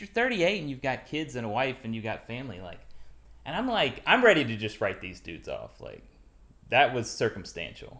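A man speaks at a medium pitch with very wide swings, some vocal fry and a bright, sharp tone. His pace is fairly quick, and the recording is very clean with a silent background. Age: 30s. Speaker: interviewer. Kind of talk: interview. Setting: studio.

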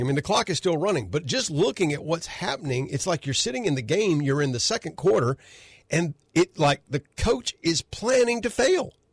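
In a Southern US accent, a man talks at a moderate pace and fairly high pitch with very wide pitch swings, the sound dry and close with no echo. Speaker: radio host and attorney. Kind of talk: talk radio commentary. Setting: studio.

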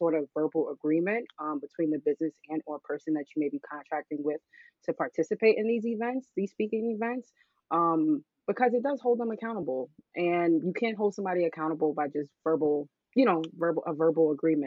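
Using lively intonation, a woman with an American accent talks at a fairly quick pace and a fairly low pitch. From Bronx, New York. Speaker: lawyer. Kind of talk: casual interview.

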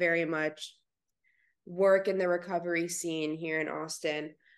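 An unremarkable speaking voice at a moderate pace, set against a quiet background. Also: woman. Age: young. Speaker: podcast host. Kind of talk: interview.

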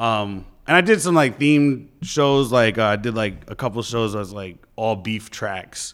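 With a New York accent, a man talks at a fairly slow pace and medium pitch, with ordinary pitch variation and hardly any pauses, on a very clean recording with a silent background. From New York, the Bronx. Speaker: DJ and radio host. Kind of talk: casual interview.

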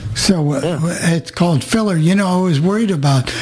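A man at a fairly quick pace with ordinary pitch variation and noticeable background noise. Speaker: radio show host. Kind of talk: casual chat. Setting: video call.

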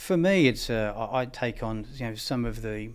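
A man talks in an Australian accent at a medium pitch. The recording is very clean, with a silent background. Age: 50s. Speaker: equipment company managing director. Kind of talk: interview. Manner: halting, many fillers.

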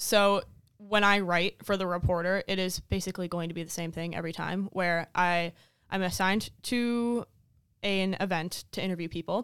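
An ordinary speaking voice from a woman, medium in pitch, with fairly even intonation at a moderate pace, on a very clean recording with a silent background. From Minnesota (small town). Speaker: student literary magazine editor. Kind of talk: casual interview.

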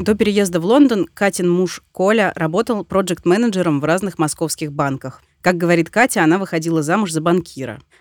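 Over a silent background on a very clean recording, a woman talks at a fairly quick pace in a plain, everyday voice, fairly low in pitch with lively intonation, the sound dry and close with no echo. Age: 30s. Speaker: podcast host. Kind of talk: scripted narration. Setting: studio.

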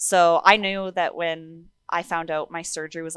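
An ordinary speaking voice with a Canadian accent carries fairly even intonation. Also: woman. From Alberta, Canada (Sherwood Park). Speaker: para-athlete runner. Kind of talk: interview conversation.

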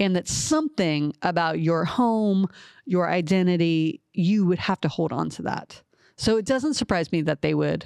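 Against a quiet background, a voice with a slight Southern US accent comes through dry and close, with no echo. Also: woman, fairly low pitch for a woman, ordinary pitch variation. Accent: slight Southern drawl picked up. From Ohio (Columbus). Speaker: podcast co-host. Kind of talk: casual chat about the Bible.

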